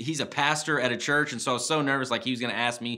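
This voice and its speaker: Words come at a very fast pace with fairly even intonation. The background is quiet. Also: man. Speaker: speaker. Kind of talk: devotional talk to camera. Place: studio.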